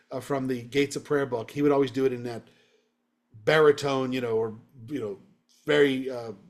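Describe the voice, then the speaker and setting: This man speaks fairly fast in a fairly high pitch. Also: long, frequent pauses. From Virginia, US. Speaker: rabbi. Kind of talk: lecture.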